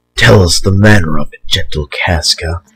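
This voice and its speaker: He talks at a moderate pace. The man is putting on a character voice, pitched very deep and low. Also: ordinary pitch variation, dry, close sound with no echo. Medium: stage play. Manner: earnest, gentle.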